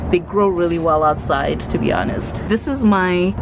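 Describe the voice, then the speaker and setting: Noticeable background noise accompanies a voice at a moderate pace with fairly even intonation. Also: woman. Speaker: plant content creator. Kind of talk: casual home tour vlog. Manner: casual, hesitant with fillers.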